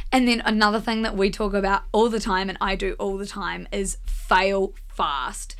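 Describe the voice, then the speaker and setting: In a New Zealand accent, a woman with a medium pitch speaks at a moderate pace with fairly even intonation and hardly any pauses. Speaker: media company co-founder. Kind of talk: casual chat. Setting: studio.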